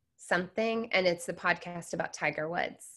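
This woman has a bright, sharp tone and a fairly low pitch, speaking with an American accent at a moderate pace and with fairly even intonation. The recording is very clean and the background silent. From US Pacific Northwest, Seattle. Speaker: business consultant. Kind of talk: interview.

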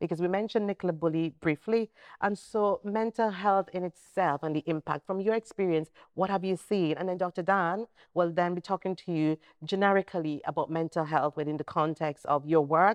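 In an ordinary speaking voice, a woman with a fairly low pitch talks at a fairly quick pace with ordinary pitch variation, the sound dry and close with no echo over a quiet background. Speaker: podcast host. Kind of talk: casual panel interview.

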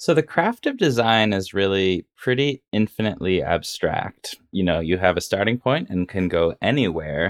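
This man has an unremarkable speaking voice, fairly low in pitch, with lively intonation at a moderate pace and hardly any pauses. The sound is dry and close with no echo. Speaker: podcast host. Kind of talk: podcast hosting interview.

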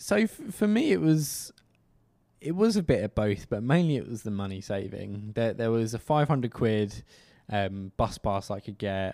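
Speaking with a southern English accent, a man keeps a moderate pace and a medium pitch, his tone dark and mellow. His intonation is lively, and the recording is very clean with a silent background. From Kent, southeast England. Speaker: cycle commuter, podcast co-host. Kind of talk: casual interview chat.

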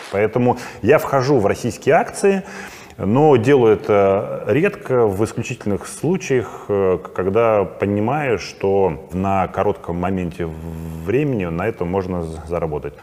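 Over noticeable background noise, a man with a fairly low pitch talks at a fairly slow pace with lively intonation. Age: 40s. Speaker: private investor and trader, channel host. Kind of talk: casual monologue to camera.

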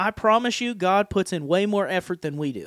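Speaking at a moderate pace, a man has a high pitch and ordinary pitch variation, recorded with a dry, close sound and no echo. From Appalachia. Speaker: podcast host and preacher. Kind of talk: casual chat about scripture. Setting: studio. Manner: jovial, laughs often.

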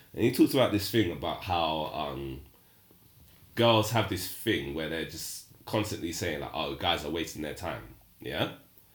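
At a moderate pace, a man with a very deep, low voice and vocal fry speaks with lively intonation and big swings in loudness. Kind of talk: casual banter chat, podcast.

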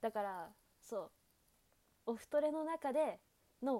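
A woman speaks fairly slowly in a dark, mellow tone with lively intonation. The sound is dry and close, with no echo. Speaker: student radio host. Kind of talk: casual chat. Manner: soft, relaxed purring tone.

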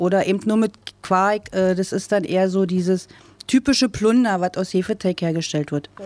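Speaking at a medium pitch and moderate pace, a woman has a dark, mellow tone and ordinary pitch variation. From eastern Germany, Brandenburg. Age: 40s. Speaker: bakery shop owner. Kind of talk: interview. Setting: outdoors.

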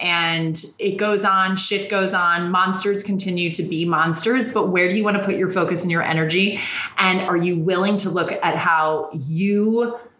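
Over noticeable background noise, a woman speaks at medium pitch in an animated tone. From Ireland, then New York. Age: 30s. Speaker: podcast host and heartbreak coach. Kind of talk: casual chat interview. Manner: animated, talkative.

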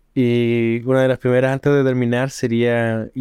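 Very slow speech with a Chilean accent and a dark, mellow tone, dry and close with no echo, over a quiet background. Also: man. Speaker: podcast host. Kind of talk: casual chat.

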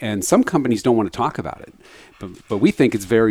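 The voice belongs to a man. It is fairly low in pitch. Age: 50s. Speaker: tech executive and author. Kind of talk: interview conversation. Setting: office. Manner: animated.

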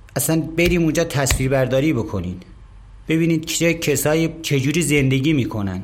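With a fairly high pitch, a man talks at a moderate pace, keeping very even loudness and ordinary pitch variation, amid noticeable background noise and audible room echo. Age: 50s. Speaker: company kitchen manager. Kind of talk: interview testimony.

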